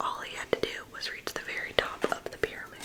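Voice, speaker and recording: Whispering in a gentle tone, the speaker keeps a moderate pace. Noticeable background noise is present. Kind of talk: ASMR bedtime story reading for adults. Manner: soft-spoken, gentle; whispered.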